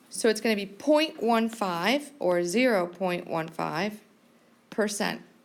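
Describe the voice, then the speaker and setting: The recording is very clean, with a silent background. A woman with a medium pitch speaks very slowly with lively intonation. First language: not English. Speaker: math teacher. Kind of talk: classroom lecture.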